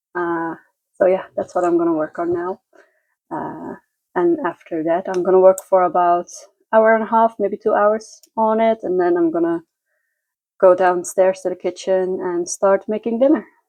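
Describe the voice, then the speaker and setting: A woman with a Dutch accent and a medium-pitched voice speaks with long, frequent pauses. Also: ordinary pitch variation. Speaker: lifestyle vlogger. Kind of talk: casual vlog narration. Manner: slow; halting.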